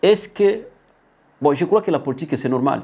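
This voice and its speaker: Dark and mellow in tone, a man talks at a moderate pace with lively intonation. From DR Congo. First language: not French (speaking French). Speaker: political commentator. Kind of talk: political commentary. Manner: halting.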